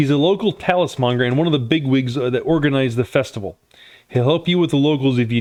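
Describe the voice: Ordinary pitch variation in plain reading aloud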